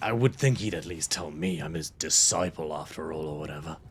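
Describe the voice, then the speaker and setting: A man puts on a raspy character voice, very deep and low, moving at a fairly quick pace over clear background noise. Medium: actual play. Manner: polite, mild.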